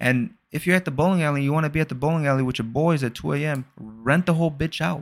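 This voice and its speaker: This man speaks fairly quickly at a fairly high pitch, on a very clean recording with a silent background. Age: 20s. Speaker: podcast host. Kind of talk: casual solo monologue.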